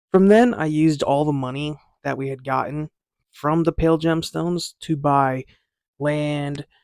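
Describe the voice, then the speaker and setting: A man speaks quietly at a fairly high pitch and a moderate pace. His intonation is fairly even, and the sound is dry and close with no echo. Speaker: gaming YouTuber. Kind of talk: gameplay narration. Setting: at home.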